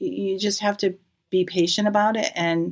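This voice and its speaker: A woman with an American accent and an unremarkable speaking voice, at a moderate pace with ordinary pitch variation, in a very clean recording with a silent background. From Massachusetts (Natick). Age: 60s. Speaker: nurse, firefighter's wife. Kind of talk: casual interview.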